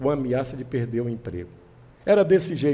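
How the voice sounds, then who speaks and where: Dark and mellow with vocal fry, the voice moves at a fairly quick pace with lively intonation. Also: man. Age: 70s. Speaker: political candidate. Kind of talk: interview.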